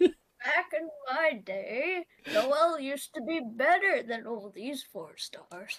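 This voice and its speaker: A woman puts on a character voice. It is high in pitch and very slow in pace. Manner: cranky, reminiscing.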